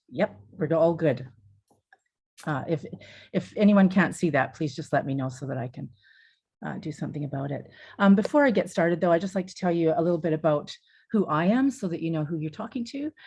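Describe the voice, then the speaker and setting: A woman with a Canadian accent talks at a fairly quick pace in a fairly low, somewhat breathy voice, with lively intonation, big swings in loudness and long, frequent pauses against a quiet background. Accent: Canadian, noticeable to New Zealanders. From Canada. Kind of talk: webinar presentation.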